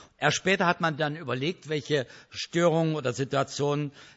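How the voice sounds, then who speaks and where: A man with a fairly high pitch and an unremarkable speaking voice talks at a moderate pace. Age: 60s. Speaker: speaker on ADHD, church worker. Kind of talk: lecture. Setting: stage with audience.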